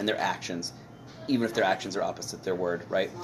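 Over noticeable background noise, a man with an American accent speaks at a very fast pace with ordinary pitch variation. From United States. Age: 40s. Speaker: comedian and homesteader. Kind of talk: casual chat.

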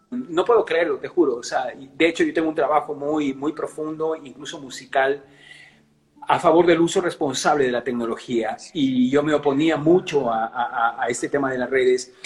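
In an ordinary speaking voice, a man with a fairly high pitch talks at a moderate pace with ordinary pitch variation. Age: 60s. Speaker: singer and musician. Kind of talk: interview.

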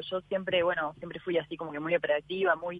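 A woman speaks over noticeable background noise. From Uruguay. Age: 20s. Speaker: ocean rower. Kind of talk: interview.

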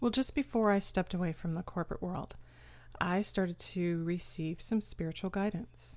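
With an American accent, a woman speaks in a normal speaking voice at a moderate pace. Her pitch is fairly low with fairly even intonation, on a very clean recording with a silent background. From Austin, Texas. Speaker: caregiver and author. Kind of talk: interview.

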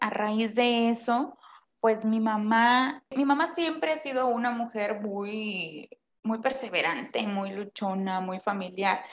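This woman talks at a very slow pace. Her pitch is fairly high, with ordinary variation. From Mexico, Tampico (Tamaulipas). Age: 20s. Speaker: podcast co-host. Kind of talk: casual chat.

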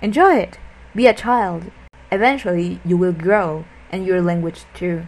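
A woman talks fairly slowly, her voice at a medium pitch with ordinary pitch variation. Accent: non-native. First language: not English. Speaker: podcast host, language learner. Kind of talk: casual solo monologue. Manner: halting.

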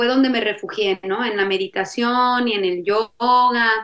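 At a fairly slow pace, a woman speaks in a high-pitched voice with ordinary pitch variation. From Mexico, Jalisco. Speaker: polyamory podcaster. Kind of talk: interview conversation.

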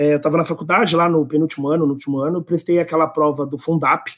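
A man with a São Paulo accent at a fairly quick pace, on a very clean recording with a silent background. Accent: Paulistano Brazilian Portuguese. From Brazil, São Paulo city. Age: 30s. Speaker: employer branding specialist. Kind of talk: podcast interview.

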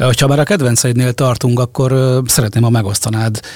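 With a dry, close sound and no echo, a man talks fairly quickly at medium pitch in a flat monotone. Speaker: radio host. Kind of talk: casual chat. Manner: hesitant, repeats words.

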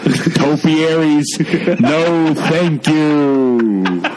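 A man uses a put-on character voice with a fairly high pitch. Loud background noise runs underneath. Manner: aggressive.

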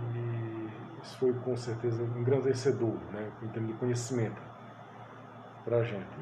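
Audible room echo around a man at a medium pitch and moderate pace, with fairly even intonation. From Pernambuco, Brazil (Sertânia, rural). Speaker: psychoanalyst and teacher. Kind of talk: interview.

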